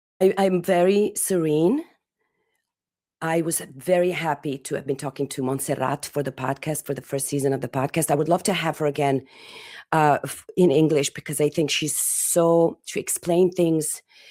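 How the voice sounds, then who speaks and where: A dark, mellow tone with an Italian accent, on a very clean recording with a silent background. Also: woman, very deep, low pitch for a woman, fairly even intonation, moderate pace. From Italy. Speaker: podcast host. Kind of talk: interview answers, personal reflection. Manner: halting, with repeated words and fillers.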